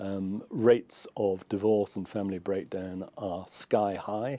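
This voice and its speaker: A man speaks in a British accent with a fairly low pitch. His tone is dark and mellow, and his intonation is monotone and flat. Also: very clean recording, silent background. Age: 70s. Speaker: former journalist, commentator. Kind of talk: interview.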